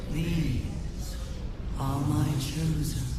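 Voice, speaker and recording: A man performs a put-on character voice. Strong echo and loud background noise surround him. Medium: machinima. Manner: commanding, menacing.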